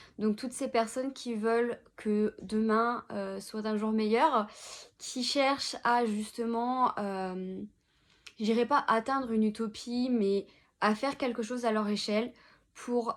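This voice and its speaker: A woman speaks at a fairly slow pace with a fairly high pitch, on a very clean recording with a silent background. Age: 20s. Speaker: social media consultant, entrepreneur. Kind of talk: interview monologue. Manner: hesitant, many filler words.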